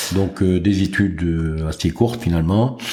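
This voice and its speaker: Very deep, low speech from a man over noticeable background noise. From France, Jura. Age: 60s. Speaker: business executive. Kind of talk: interview. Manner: hesitant, many fillers.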